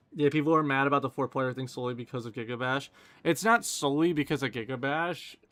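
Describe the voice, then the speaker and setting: A man speaks at a very fast pace with a fairly high pitch. His pitch variation is ordinary. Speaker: gaming streamer. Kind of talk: live stream Q&A chat. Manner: sarcastic, casual.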